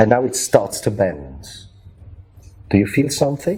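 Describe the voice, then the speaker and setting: Speaking at a fairly slow pace, a man with a medium pitch and a dark, mellow tone uses very wide pitch swings and vocal fry. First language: German. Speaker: magician. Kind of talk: tutorial. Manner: halting.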